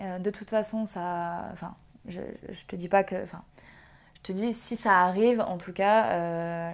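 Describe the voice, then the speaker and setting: Pausing long and often, a woman talks at a fairly slow pace and medium pitch with fairly even intonation. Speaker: tarot reader. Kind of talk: tarot reading video. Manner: halting, many fillers.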